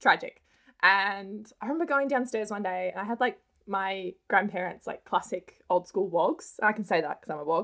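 A woman with an Australian accent speaks at medium pitch and a moderate pace in a bright, sharp tone with lively intonation. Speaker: personal finance content creator. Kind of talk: interview.

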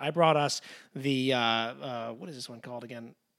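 An ordinary speaking voice with ordinary pitch variation, on a very clean recording with a silent background. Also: man. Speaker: podcast co-host and actor. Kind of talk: casual chat.

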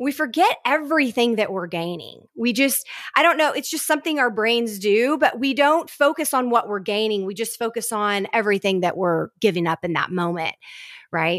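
A woman talks at a moderate pace in an enthusiastic, upbeat tone. Her fairly high pitch makes very wide swings. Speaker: business coach and podcast host. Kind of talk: casual interview chat.

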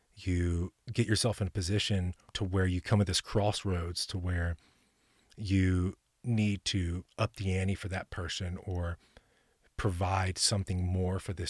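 In a dry, close sound with no echo, a man speaks with a very deep, low pitch, monotone, flat intonation and a somewhat breathy quality. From Middle Tennessee. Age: 40s. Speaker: gym owner. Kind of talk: casual chat.

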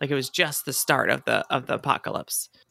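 A woman speaks at a fairly quick pace in an animated tone, with some vocal fry. The sound is dry and close, with no echo. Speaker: podcast host. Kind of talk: casual chat. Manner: animated, laughs often.

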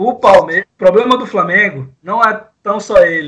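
The man's voice has a bright, sharp tone. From Brazil, interior of Pará state. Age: 20s. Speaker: professional sports bettor. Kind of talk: sports betting discussion podcast.

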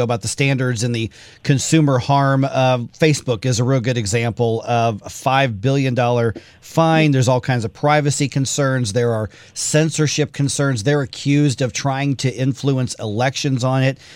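Moderate pace, ordinary pitch variation and medium pitch from a man with a plain, everyday voice. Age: 40s. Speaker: radio talk show host. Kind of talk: radio interview.

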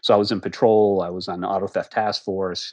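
Against a quiet background, a man talks in a fairly low pitch with an American accent. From Massachusetts, US. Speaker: crime novelist and retired federal agent. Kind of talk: interview. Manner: halting.

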